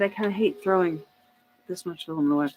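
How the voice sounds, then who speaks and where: With a Southern US accent, a woman speaks at a medium pitch with lively intonation. Music plays in the background. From US South. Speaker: 3D printing streamer. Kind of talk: live stream Q&A. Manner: casual, rambling; loud at times.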